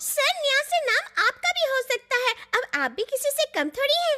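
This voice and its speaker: A squeaky, female-sounding put-on character voice talks at a fairly quick pace with an extremely high pitch. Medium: fan dub. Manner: flattering, deferential.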